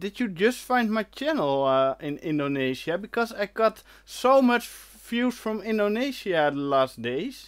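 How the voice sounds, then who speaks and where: On a very clean recording with a silent background, a man with a Dutch accent and a high pitch speaks at a fairly slow pace with hardly any pauses and very wide pitch swings. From Netherlands. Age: 30s. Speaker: retro computing YouTuber. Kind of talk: live stream chat reading comments. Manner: hesitant, many fillers.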